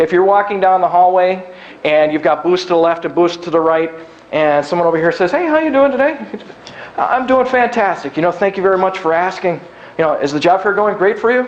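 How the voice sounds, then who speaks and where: A man's high-pitched voice with lively intonation amid noticeable background noise. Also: fairly quick pace. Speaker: recruitment specialist and workshop speaker. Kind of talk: live workshop talk. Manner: fast; casual, down to earth.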